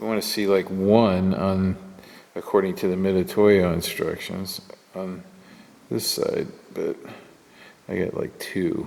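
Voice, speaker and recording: A man mumbles at a fairly slow pace with long, frequent pauses over noticeable background noise. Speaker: machinist tool reviewer. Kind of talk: workshop tutorial. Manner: mumbling; halting.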